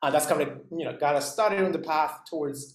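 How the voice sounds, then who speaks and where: Man's voice with fairly even intonation. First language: not English. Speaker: instructor. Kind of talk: lecture. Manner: halting, many fillers.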